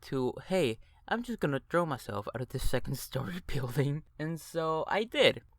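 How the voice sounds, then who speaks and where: This man's fairly high voice moves at a moderate pace with lively intonation. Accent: Argentine. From Argentina. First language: Spanish. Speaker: animation YouTuber. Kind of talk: personal storytelling. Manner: casual, with fillers.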